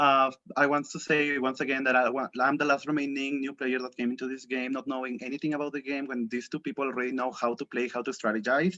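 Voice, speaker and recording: Over a quiet background, a man talks at a very fast pace in a bright, sharp tone with a fairly high pitch. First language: not English. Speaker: game contestant. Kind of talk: jury speech. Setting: video call. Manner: halting.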